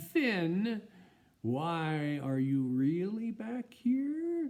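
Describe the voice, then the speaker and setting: In a put-on character voice, the speaker talks at a very slow pace from a middle pitch, with very wide pitch swings. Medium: read story. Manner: confident, decisive.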